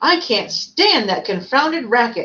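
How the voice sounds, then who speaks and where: Putting on a character voice, a woman speaks high at a moderate pace, her pitch swinging very widely. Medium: read story. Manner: refined, self-satisfied.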